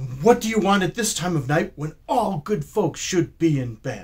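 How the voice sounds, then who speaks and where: Speaking in a put-on character voice, a man keeps a moderate pace at a high pitch. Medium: read story.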